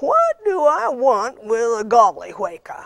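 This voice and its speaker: Using a put-on character voice, a woman speaks at a high pitch and fairly slow pace with lively intonation. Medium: read story. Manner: blunt, practical.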